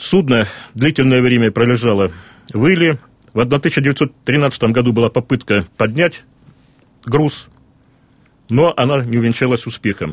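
With long, frequent pauses, a man speaks at a fairly slow pace in a medium pitch, his loudness very even and his pitch variation ordinary. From Russian Far East, Vladivostok. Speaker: regional historian. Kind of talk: radio interview. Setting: studio.

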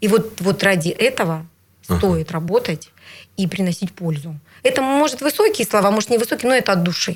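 Over a silent background in a very clean recording, a woman talks at a fairly quick pace with a somewhat breathy, medium-pitched voice and lively intonation. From Siberia, Bratsk (Irkutsk region). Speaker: regional legislator. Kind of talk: interview. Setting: studio.

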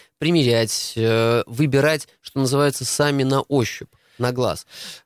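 A man with a plain, everyday voice talks at a fairly slow pace and medium pitch with ordinary pitch variation, in a very clean, dry, close recording with no echo and a silent background. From Russia. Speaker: retail industry expert. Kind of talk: radio interview.

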